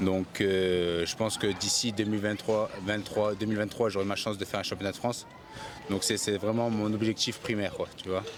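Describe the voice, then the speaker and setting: A man's fairly low voice, monotone and flat, at a moderate pace over noticeable background noise. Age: 20s. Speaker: professional boxer. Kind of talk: interview.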